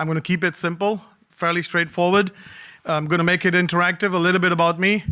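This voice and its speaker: A man with a Punjabi accent speaks at a very fast pace, his high pitch carrying a bright, sharp tone. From Singapore. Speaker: cybersecurity speaker. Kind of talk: conference talk. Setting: stage with audience. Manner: animated.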